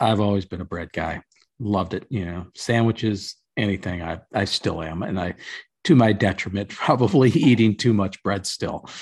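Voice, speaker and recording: A man with an American accent talks at a moderate pace in a plain, everyday voice. His pitch is fairly low with ordinary variation, and the background is quiet. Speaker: podcast host. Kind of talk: casual chat. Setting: video call.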